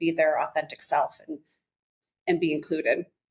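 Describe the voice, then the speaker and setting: A woman speaks at a fairly quick pace with monotone, flat intonation. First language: American Sign Language. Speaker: realtor and author. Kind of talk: podcast interview.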